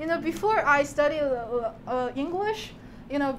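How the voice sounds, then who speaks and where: A woman speaks at a moderate pace in a Chinese accent, her pitch high. Her intonation is lively, and background noise is noticeable. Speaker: PhD student presenter. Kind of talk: talk to an audience. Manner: halting, with fillers and restarts.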